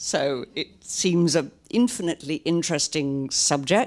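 A woman speaks with a fairly low pitch. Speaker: novelist. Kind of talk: author reading and talk. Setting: live stage with audience at a library.

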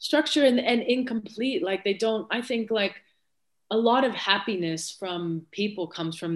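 Speaking in a normal speaking voice with an American accent, a woman shows ordinary pitch variation. The recording is very clean, with a silent background. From United States. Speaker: former footballer turned sports executive. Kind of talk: casual interview chat.

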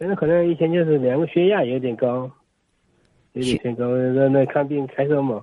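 At a moderate pace and fairly high pitch, a man talks with ordinary pitch variation and long, frequent pauses. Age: 40s. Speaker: radio caller with hearing loss. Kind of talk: phone call-in. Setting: phone call. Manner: halting.

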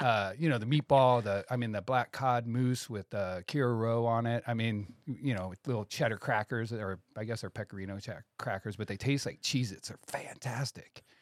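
On a very clean recording with a silent background, a man uses a normal speaking voice at a medium pitch, moving at a moderate pace with ordinary pitch variation. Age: 40s. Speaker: sandwich shop owner. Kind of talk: casual chat. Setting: studio.

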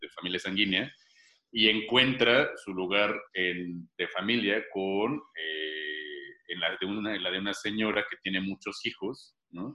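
With a Mexican accent, a man speaks at a fairly slow pace. His pitch is fairly low, with ordinary pitch variation. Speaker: playwright and actor. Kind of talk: casual chat.

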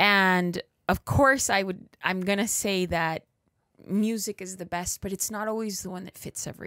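A woman speaks with a Spanish accent at a medium pitch and a moderate pace. Her intonation is fairly even with big swings in loudness, in a dry, close sound with no echo on a very clean recording with a silent background. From East Los Angeles, US. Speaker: music educator. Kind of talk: casual interview conversation.

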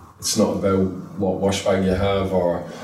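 A fairly low-pitched man with an Irish accent, amid audible room echo and noticeable background noise. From Ireland. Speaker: youth football coach. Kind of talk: interview. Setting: football training ground.

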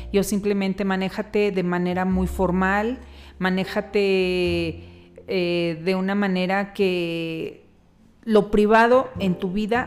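Music plays in the background behind a woman. Her pitch is medium, with ordinary variation. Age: 50s. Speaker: podcast host's mother. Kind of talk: interview.

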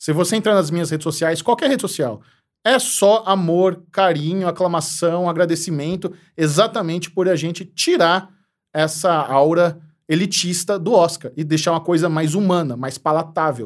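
Here a man talks at a moderate pace in a high pitch, with ordinary pitch variation. The recording is very clean, the background silent. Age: 30s. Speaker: youtuber and TV series critic. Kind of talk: casual chat.

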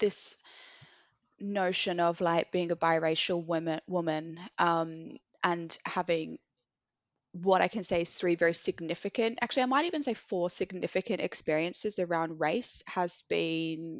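A woman with a New Zealand accent, fairly low in pitch with ordinary pitch variation, at a fairly slow pace. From New Zealand, Christchurch. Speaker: activist and charity co-founder. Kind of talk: casual chat.

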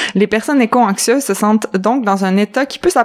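A plain, everyday voice from a woman, fairly high-pitched, fairly quick, with ordinary pitch variation. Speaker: podcast co-host. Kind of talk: casual chat.

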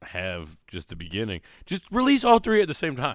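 With pitch swinging very widely, a man delivers his words at a moderate pace on a very clean recording against a silent background. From Syracuse, New York. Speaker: podcast host. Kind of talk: casual chat. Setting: live show in person, shared room.

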